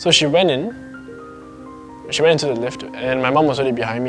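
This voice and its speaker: A man's voice with music in the background. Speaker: storyteller sharing a personal ghost encounter. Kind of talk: casual personal storytelling to camera.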